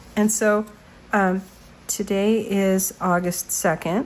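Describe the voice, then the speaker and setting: A woman's medium-pitched voice, its intonation fairly even, comes through noticeable background noise. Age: 60s. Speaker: journaling vlogger. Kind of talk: casual tutorial walkthrough. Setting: home studio. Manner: halting, many fillers.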